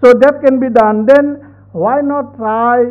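Against a quiet background, a man speaks at a moderate pace with an Assamese accent. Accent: Assamese-accented Indian English. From Assam, India. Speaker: vice chancellor; guest. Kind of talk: formal speech. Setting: stage with audience. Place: hall.

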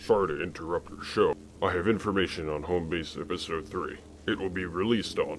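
Against clear background noise, a man with a very deep, low pitch talks at a fairly quick pace. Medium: machinima.

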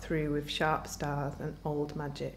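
A woman speaks with a Yorkshire accent over light background noise. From northern England, Doncaster; northern England. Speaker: writer. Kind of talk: reading aloud. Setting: live literature event. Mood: calm, reflective.

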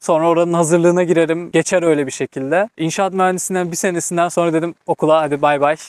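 A man speaks very fast in a high pitch with monotone, flat intonation, very even loudness and hardly any pauses, in a dry sound with no echo against a quiet background. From Turkey, Istanbul. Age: 20s. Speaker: vocational trainee who emigrated to Germany; interviewee. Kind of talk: casual interview chat. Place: open country. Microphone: lapel.

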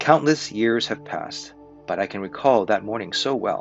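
A man speaks with clear music in the background. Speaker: volunteer reader. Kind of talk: story reading aloud. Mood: warm, calm narration. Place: home room. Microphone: webcam.

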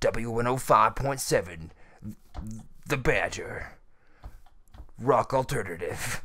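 Very slow male speech in a put-on character voice at medium pitch, broken by long, frequent pauses. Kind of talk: radio broadcast style. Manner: smooth, polished.

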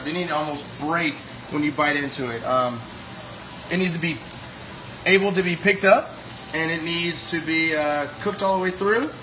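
A man's fairly high voice at a moderate pace, ordinary pitch variation, and clear background noise.

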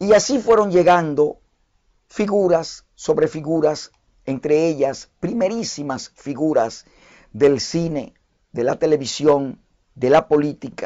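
Speaking very slowly with a Dominican accent, a man uses a fairly high pitch and lively intonation. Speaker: online news and commentary host. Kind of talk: live history talk show.

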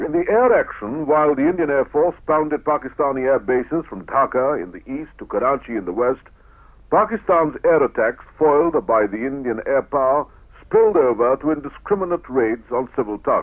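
A man's lively intonation carries his speech at a moderate speed. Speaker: radio newsreader. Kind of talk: radio newsreel narration. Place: studio. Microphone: old recording.

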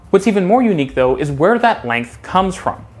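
A man's voice over faint background music. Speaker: transit video creator. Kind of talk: explainer commentary. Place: home room. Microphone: lapel.

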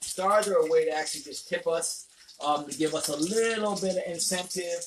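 At a moderate pace, a man speaks with a fairly high pitch and ordinary pitch variation, and audible room echo surrounds him.

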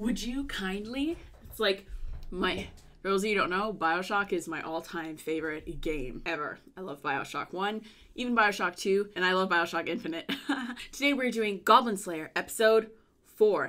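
Music plays behind a woman speaking at a moderate pace. Her intonation is lively. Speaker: youtuber. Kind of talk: casual vlog chat. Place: home room.

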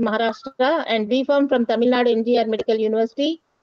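A woman speaks at a fairly quick pace with ordinary pitch variation. The sound is dry with no echo, and the background is quiet. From India. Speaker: webinar moderator. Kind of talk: formal introduction. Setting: video call. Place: hall. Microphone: podium.

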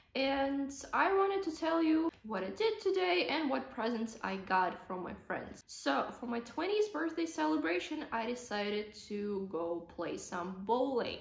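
A woman with a Russian accent speaks at a high pitch and a fairly slow pace, with hardly any pauses and audible room echo. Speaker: vlogger. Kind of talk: casual talk to camera. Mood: cheerful, relaxed. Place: home room. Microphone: phone near.

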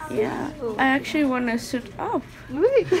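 Mumbling very slowly with ordinary pitch variation, a woman is heard over loud background noise. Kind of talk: casual groggy chat. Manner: drowsy, dry-mouthed mumbling speech. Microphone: phone near.

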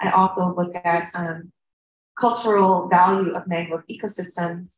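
A woman with an American accent speaks at a moderate pace, her pitch fairly low and her intonation flat and monotone, her voice somewhat breathy. Audible room echo and light background noise are present. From United States. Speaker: field station director and researcher. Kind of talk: conference presentation. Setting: conference panel. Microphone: video call.

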